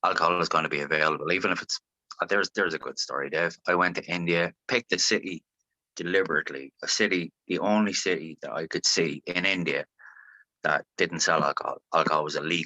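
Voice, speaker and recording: A man with an Irish accent talks at a very fast pace. The sound is dry and close with no echo, over a quiet background. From Ireland, Longford. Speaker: singer-songwriter. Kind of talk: interview. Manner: animated.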